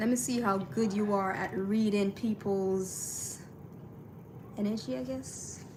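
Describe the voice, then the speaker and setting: A woman with a strong Caribbean accent, medium pitch and lively intonation at a very slow pace, amid noticeable background noise and audible room echo. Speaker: artist livestreamer. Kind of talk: casual livestream chat. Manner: relaxed, with frequent fillers.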